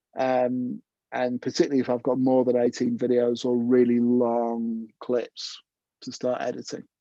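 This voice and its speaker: A man's voice with a dark, mellow tone comes through a dry sound with no echo against a quiet background. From northern England, Cleethorpes and Leeds; northern England. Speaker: jazz trumpeter and video editor; presenter. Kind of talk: online tutorial; casual anecdote. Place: home room. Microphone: earbuds.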